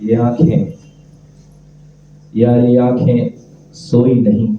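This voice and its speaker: With music playing behind him, a man speaks at a medium pitch. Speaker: poet. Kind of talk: poetry reading. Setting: live open mic event.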